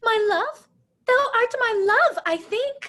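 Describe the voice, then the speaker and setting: A put-on character voice, squeaky and extremely high in pitch, speaks at a very slow pace. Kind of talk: comic overacting. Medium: stage play. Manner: overwrought, hammy.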